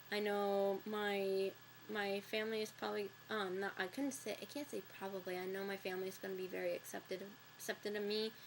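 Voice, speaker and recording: A woman talks at a fairly quick pace in a medium pitch, her intonation flat and monotone. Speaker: video blogger. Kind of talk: casual monologue. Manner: halting.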